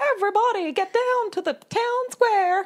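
Squeaky and extremely high-pitched, the put-on character voice uses an American accent as part of the act and moves at a moderate pace. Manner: crier-like, announcing.

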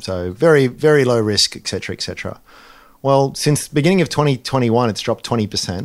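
At a fairly quick pace, a man with an Australian accent speaks with lively intonation in a very clean recording with a silent background. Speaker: investment analyst co-host. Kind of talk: casual chat.

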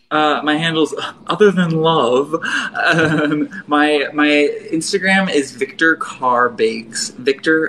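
A fairly high-pitched man's voice with an American accent, noticeable background noise behind it. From western Pennsylvania. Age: 20s. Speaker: artist and baker. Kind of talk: casual chat.

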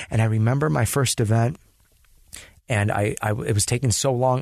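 Against a quiet background, a man with a Californian accent speaks at a moderate pace with ordinary pitch variation. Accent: Californian American. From Los Angeles, US. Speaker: dancer and DJ. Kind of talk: casual chat.

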